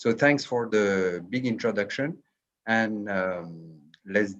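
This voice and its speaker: A man's medium-pitched voice with a French accent. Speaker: Vedic scholar and professor. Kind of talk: lecture. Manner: hesitant with fillers.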